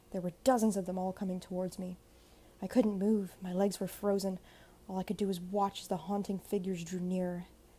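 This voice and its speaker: A woman with a medium pitch and a dark, mellow, somewhat breathy tone speaks at a fairly quick pace in a monotone, flat intonation. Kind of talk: horror story narration.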